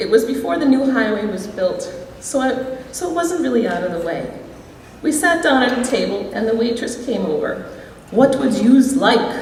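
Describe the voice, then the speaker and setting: A high-pitched woman with an American accent and lively intonation at a moderate pace, with audible room echo and noticeable background noise. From US Midwest, Door County, Wisconsin. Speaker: alumni hall of fame inductee. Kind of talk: acceptance speech.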